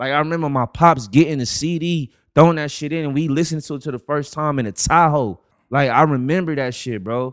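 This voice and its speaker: A man with an American accent at a fairly high pitch and fairly quick pace, his pitch varying in an ordinary way. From the Bronx, New York. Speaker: podcast guest. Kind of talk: casual chat.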